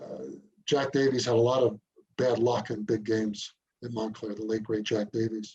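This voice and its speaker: A man with an American accent talks at a moderate pace and a medium pitch. His tone is dark and mellow, somewhat breathy, with fairly even intonation. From New Jersey, Essex County. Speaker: sports journalist. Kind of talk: interview.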